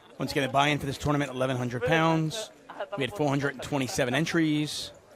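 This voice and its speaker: A man speaks at a very fast pace with fairly high pitch. Noticeable background noise runs through the clip. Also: ordinary pitch variation. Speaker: poker commentator. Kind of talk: live commentary. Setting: commentary booth at live poker event. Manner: loud.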